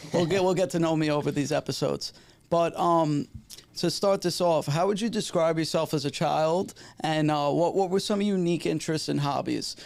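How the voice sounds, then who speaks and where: A man speaks in a New York accent at a moderate pace. His pitch sits fairly high for a man, with fairly even intonation. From New York City, Staten Island. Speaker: podcast host. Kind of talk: casual chat; show introduction.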